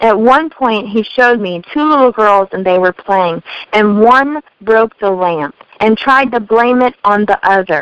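A woman's plain, everyday voice with an American accent, ordinary pitch variation and a fairly slow pace, in a dry, close sound with no echo. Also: fairly high pitch for a woman. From US Midwest, Missouri. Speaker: life coach and speaker. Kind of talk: testimony.

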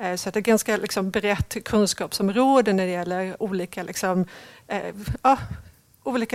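In a normal speaking voice, a woman of medium pitch talks at a moderate pace, the sound dry and close with no echo. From Sweden. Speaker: talent acquisition leader. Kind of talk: interview.

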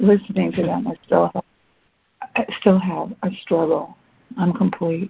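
Speaking with vocal fry at a fairly low pitch, a woman leaves long, frequent pauses. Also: ordinary pitch variation, fairly slow pace. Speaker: call participant and reader. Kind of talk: reading aloud and supportive sharing. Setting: phone call.

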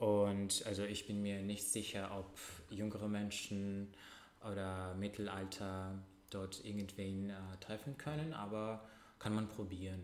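Spoken in a Russian accent with flat, monotone intonation, the speech moves very slowly against audible room echo. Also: man, fairly low pitch for a man. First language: Russian (speaking German). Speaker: podcast co-host. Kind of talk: casual chat. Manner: halting.

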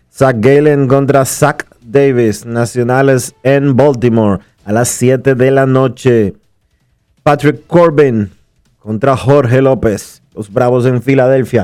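A man talks at a very slow pace with music in the background. His pitch is medium and his intonation fairly even. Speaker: radio sports show host. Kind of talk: radio sports talk show. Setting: radio studio.

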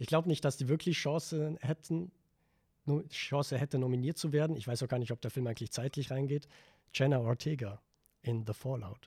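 A man speaks with a dark, mellow tone that is somewhat breathy, leaving long, frequent pauses. The recording is very clean with a silent background, and the sound is dry and close with no echo. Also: medium pitch for a man, ordinary pitch variation, fairly quick pace. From Vorarlberg, western Austria. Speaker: film student, podcast guest. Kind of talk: casual chat.

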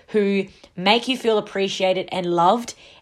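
With an Australian accent, a woman speaks in an animated tone at medium pitch and a moderate pace, her pitch varying in an ordinary way. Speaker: wellness podcast host. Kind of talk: solo casual monologue.

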